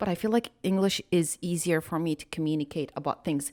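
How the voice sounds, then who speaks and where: A speaker with a non-native accent talks at a moderate pace with ordinary pitch variation, the sound dry and close with no echo on a very clean recording over a silent background. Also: woman. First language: not English. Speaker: podcast co-host. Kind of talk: casual chat.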